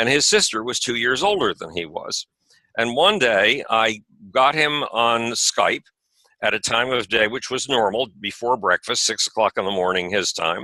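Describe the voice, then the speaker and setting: With lively intonation, a man speaks in a medium-pitched voice that has a bright, sharp tone. The sound is dry and close, with no echo. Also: moderate pace. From USA. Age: 70s. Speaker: author and space advocate. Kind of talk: interview conversation. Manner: animated.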